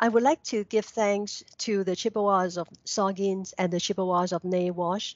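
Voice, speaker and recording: A woman with a Cantonese accent, medium pitch and fairly even intonation at a moderate pace. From Hong Kong. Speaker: local history researcher. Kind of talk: recorded presentation.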